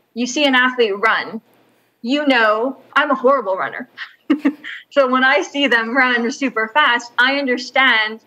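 Speaking fairly slowly, a woman uses a high, bright and sharp voice with ordinary pitch variation. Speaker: remote keynote guest. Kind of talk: interview answer. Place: home room. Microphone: video call.

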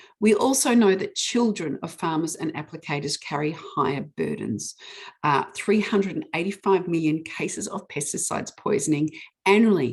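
This woman speaks with a New Zealand accent. Her voice is fairly low, with lively intonation. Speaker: witness giving evidence on pesticide regulation. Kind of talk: testimony at a public hearing with slides. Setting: online public hearing. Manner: fast.

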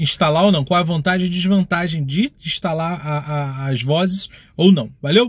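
The speech moves at a moderate pace with ordinary pitch variation, recorded dry with no echo against a quiet background. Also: man. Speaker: gaming youtuber. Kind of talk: casual vlog chat. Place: car. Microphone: phone near.

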